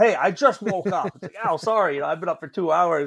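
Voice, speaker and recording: A man with a high pitch and lively intonation at a fairly quick pace. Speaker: welding business owner. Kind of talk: casual chat. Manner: loud.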